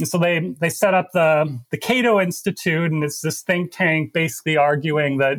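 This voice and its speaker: Speaking at a moderate pace with ordinary pitch variation, a man with a Canadian accent has a normal speaking voice at a fairly high pitch. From Canada, Alberta. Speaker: investigative journalist and author. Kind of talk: interview.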